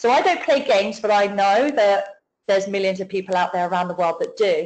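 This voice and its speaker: A very fast pace in a British accent. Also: woman. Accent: UK. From UK. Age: 40s. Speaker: network marketing affiliate. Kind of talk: business testimony on a webinar. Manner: talkative, enthusiastic.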